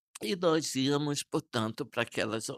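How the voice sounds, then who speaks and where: The sound is dry and close with no echo as a man talks at a fairly slow pace. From Brazil, Bahia (Salinas da Margarida, Bay of All Saints). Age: 60s. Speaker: archbishop. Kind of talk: interview testimony. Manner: calm, serene; hesitant, with fillers.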